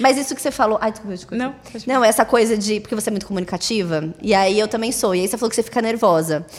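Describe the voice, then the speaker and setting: Talking very fast with hardly any pauses, a woman uses a fairly high pitch and ordinary pitch variation. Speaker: podcast co-host. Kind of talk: casual chat.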